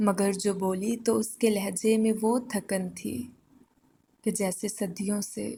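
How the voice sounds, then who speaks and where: A woman's somewhat breathy voice has a dark, mellow tone and monotone, flat intonation. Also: medium pitch for a woman. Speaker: poetry reciter. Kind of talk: poetry reading. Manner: emotional, soulful.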